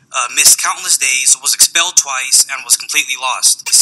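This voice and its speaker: A man with a Californian accent speaks at a moderate pace. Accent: Californian American. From San Francisco, California. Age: 20s. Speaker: foster youth advocate. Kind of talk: testimony. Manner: reading prepared statement. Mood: earnest, somber personal story. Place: hall. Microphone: podium.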